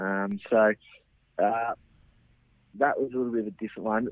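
In an Australian accent, a man talks at a very fast pace. His pitch is fairly low and his intonation fairly even. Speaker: Australian rules footballer. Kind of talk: interview.

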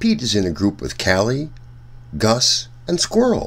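Speaking slowly, a man uses a fairly low pitch.

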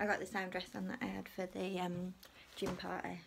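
A woman talks at a moderate pace over light background noise. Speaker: family vlogger. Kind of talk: casual vlog chat. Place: home room. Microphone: phone near.

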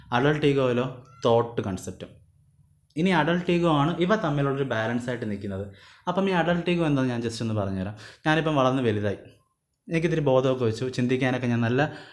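There is audible room echo as a man with a medium pitch speaks with lively intonation. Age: 20s. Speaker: online teacher. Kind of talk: lecture. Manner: conversational.

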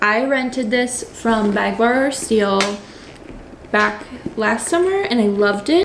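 The woman's voice is fairly high-pitched and her pace is fairly slow. Noticeable background noise runs behind her. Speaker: lifestyle vlogger. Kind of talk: casual vlog talk to camera. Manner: animated. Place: home room. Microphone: phone near.

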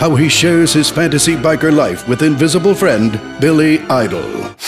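Music plays in the background as a man with a fairly high pitch speaks at a moderate pace, with ordinary pitch variation and very even loudness. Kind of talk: movie trailer.

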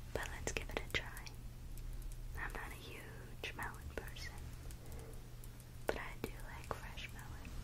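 The woman's pace is fairly slow. Long pauses come often in her speech. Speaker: ASMR creator. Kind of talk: ASMR eating video talk. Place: home room. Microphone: studio mic.

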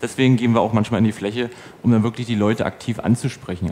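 A man with a medium-pitched voice at a very fast pace, over light background noise. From Brandenburg, Germany. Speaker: community organizer and mapping volunteer; conference presenter. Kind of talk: conference talk; audience Q&A. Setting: stage with audience. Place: hall. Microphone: headset.

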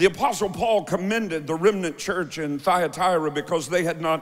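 A man with a high-pitched voice and an American accent. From United States. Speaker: preacher. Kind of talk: sermon. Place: church. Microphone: handheld.

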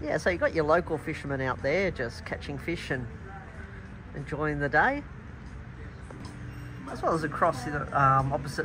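The speech moves at a moderate pace while music plays clearly in the background. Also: man. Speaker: travel vlogger. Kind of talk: casual vlog chat. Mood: relaxed. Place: cafe. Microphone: phone near.

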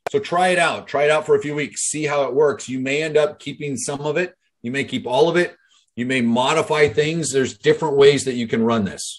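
Here a man talks at a fairly quick pace. His pitch varies in an ordinary way. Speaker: business coach. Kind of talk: motivational talk on a group call. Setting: video call. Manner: casual, animated. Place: home room. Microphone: webcam.

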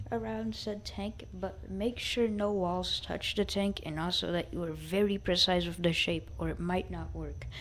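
A woman at a fairly slow pace, with light background noise. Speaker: gaming tutorial youtuber. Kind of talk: casual game tutorial voiceover. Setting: low-quality microphone.

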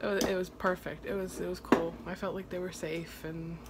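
A woman talks while noticeable background noise carries on behind her. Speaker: mother vlogger. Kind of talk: casual vlog chat. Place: kitchen. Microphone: phone near.

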